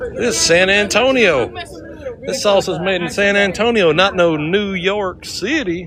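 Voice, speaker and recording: Music plays behind a man with an American accent and a high pitch, and audible room echo surrounds him. He speaks at a fairly slow pace with ordinary pitch variation. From California, Sacramento area. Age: 50s. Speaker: live streamer. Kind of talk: casual live stream chat.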